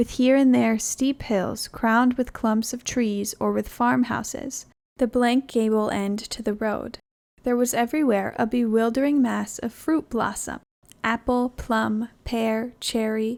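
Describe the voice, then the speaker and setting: Speaking at a fairly slow pace, a woman keeps a calm tone and a fairly high pitch in monotone, flat intonation. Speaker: narrator. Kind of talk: audiobook narration. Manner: calm, relaxing.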